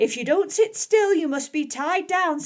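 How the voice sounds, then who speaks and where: A woman's put-on character voice, squeaky and extremely high, with lively intonation at a moderate pace. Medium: read story.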